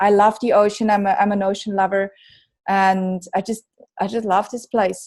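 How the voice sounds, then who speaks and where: A woman's medium-pitched voice in a Swiss accent, monotone and flat, at a moderate pace on a very clean recording with a silent background. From Switzerland, near Bern. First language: Swiss German. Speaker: author. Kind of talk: casual chat.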